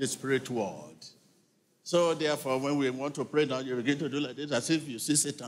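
A man talks at a fairly quick pace. His pitch is fairly high. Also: fairly even intonation. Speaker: preacher leading a church service. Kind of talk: sermon delivered to a congregation. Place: church. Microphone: handheld.

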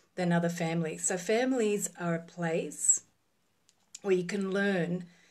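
Against a quiet background, a woman talks at a fairly slow pace with a fairly low pitch and fairly even intonation. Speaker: relationship coach. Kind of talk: casual live-stream talk. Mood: calm, reflective. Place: home room. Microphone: phone near.

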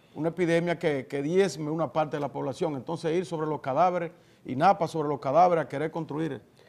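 Fairly high-pitched, a man talks at a very fast pace. His intonation stays fairly even. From Dominican Republic. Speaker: TV news talk show host. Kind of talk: political interview; news commentary. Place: studio. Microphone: lapel.

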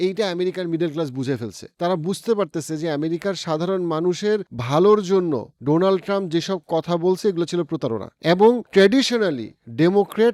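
A man speaks in an animated tone at a high pitch with ordinary pitch variation. The recording is very clean with a silent background and a dry, close sound with no echo. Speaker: YouTube commentator. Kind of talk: political commentary monologue.

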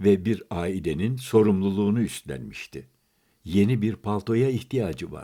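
Here is an unforced reading voice with ordinary pitch variation. The background is quiet.

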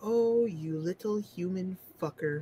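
Using a put-on character voice, a female-sounding speaker talks fairly slowly at a medium pitch.

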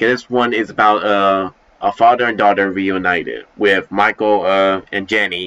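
His tone bright and sharp, a man speaks at a fairly low pitch. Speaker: amateur voice actor. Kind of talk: casual vlog chat. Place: home room. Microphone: headset.

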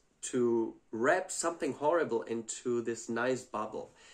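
Fairly slow male speech over quiet surroundings. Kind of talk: commentary. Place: home room. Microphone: phone near.

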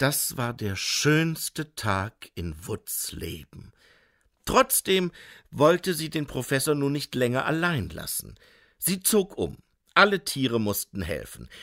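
Speaking at a very slow pace, a man uses a bright, sharp yet gentle, soothing tone with very wide pitch swings, recorded dry and close with no echo. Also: fairly high pitch for a man, very clean recording, silent background. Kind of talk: audiobook narration of a children's fantasy story. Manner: gentle storyteller's cadence, slow and soothing, with playful character voices.

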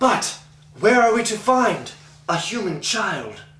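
A man uses a put-on character voice with a high pitch. He speaks at a fairly slow pace, with slight echo. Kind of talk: fantasy, earnest. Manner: grassy, mumbly, munching.

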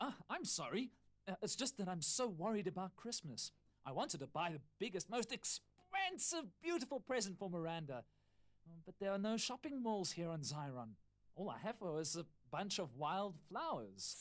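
At a middle pitch and moderate pace, a whiny, put-on character voice comes through. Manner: worried, whiny.

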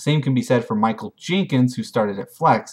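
A man talking at a very fast pace, lively intonation, quiet background. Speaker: fantasy league recap host. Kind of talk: sports commentary recap. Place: home room. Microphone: webcam.

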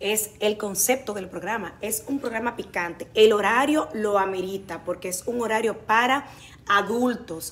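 With ordinary pitch variation, the voice moves along at a fairly slow pace. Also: woman, fairly high pitch for a woman. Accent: Dominican. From Dominican Republic. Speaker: TV comedy actress and presenter; TV comedy actress, presenter. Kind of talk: interview. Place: studio. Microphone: phone near.

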